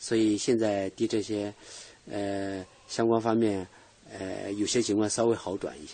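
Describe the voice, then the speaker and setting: A man speaks fairly slowly in a fairly low, flat monotone. He leaves long, frequent pauses. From Hubei, Chibi. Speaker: author. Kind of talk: radio interview. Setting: radio studio. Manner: halting, many fillers.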